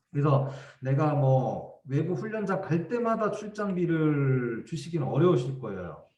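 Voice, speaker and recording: Audible room echo surrounds a man whose fairly high voice carries lively intonation at a fairly slow pace. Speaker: education official giving training. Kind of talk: training lecture.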